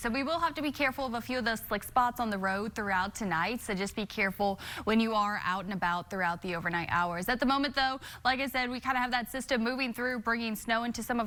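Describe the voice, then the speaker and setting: Very fast and fairly high-pitched, a woman talks in a bright, sharp tone with ordinary pitch variation. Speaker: TV meteorologist. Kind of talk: TV weather forecast.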